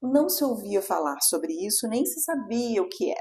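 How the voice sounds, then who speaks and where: Fairly slowly, a woman speaks in a high voice. Her pitch swings very widely. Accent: Carioca. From Rio de Janeiro, Brazil. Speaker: pelvic physiotherapist. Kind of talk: interview. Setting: studio, in person.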